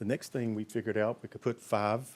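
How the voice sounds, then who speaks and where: Words come out very rapidly in an American accent. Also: man. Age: 60s. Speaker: pig farmer. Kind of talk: conference talk. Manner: halting, many fillers.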